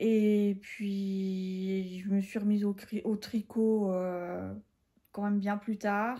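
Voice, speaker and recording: This woman's tone is dark and mellow, and her intonation is fairly even. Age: 40s. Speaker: podcast host, knitter. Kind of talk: casual chat. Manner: hesitant, many fillers.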